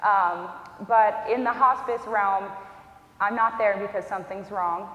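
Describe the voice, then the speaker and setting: The speaker talks at a fairly slow pace in a monotone, flat intonation. Noticeable background noise and audible room echo are present. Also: woman. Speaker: hospice social worker. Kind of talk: educational talk. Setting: church event with audience. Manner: soft-spoken.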